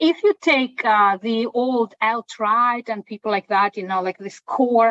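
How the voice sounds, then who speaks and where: This woman talks with a Russian accent. The variation in her pitch is ordinary. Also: fairly high pitch for a woman, fairly slow pace, dry, close sound with no echo. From Russia (Moscow). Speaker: professor. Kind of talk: Q&A discussion after a lecture. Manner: hesitant, many fillers.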